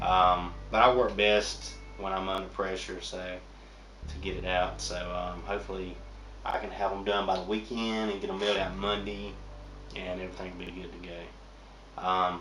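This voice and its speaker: A man with an American accent at a moderate pace, amid noticeable background noise and audible room echo. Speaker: comic artist vlogger. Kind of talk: casual vlog monologue. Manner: rambling with many fillers.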